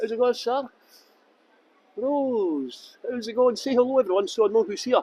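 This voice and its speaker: In a Scottish accent, a man speaks at a high pitch, the sound dry and close with no echo. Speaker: tour guide. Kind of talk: live-streamed walking tour. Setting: outdoors. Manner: deliberately clear tour guide voice.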